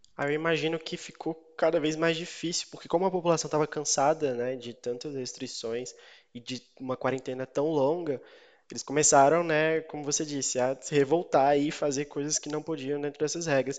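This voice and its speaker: Here a man with an ordinary speaking voice talks at a moderate pace with fairly even intonation. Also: fairly high pitch for a man. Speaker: news podcast host. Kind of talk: interview.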